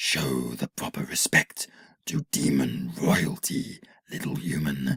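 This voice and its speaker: A put-on character voice from a man, growling and very deep, delivered at a fairly slow pace. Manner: growling, harsh, commanding.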